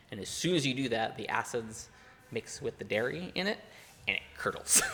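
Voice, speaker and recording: Amid noticeable background noise, a man's pitch rises and falls very widely. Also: medium pitch for a man. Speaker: comedy podcast co-host. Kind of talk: casual chat. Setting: pub. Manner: fast, mumbling.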